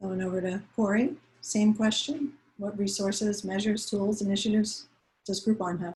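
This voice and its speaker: The voice is somewhat breathy, with an American accent. Delivery comes at a moderate pace with fairly even intonation. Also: woman, medium pitch for a woman. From New York. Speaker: panel moderator. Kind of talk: panel discussion.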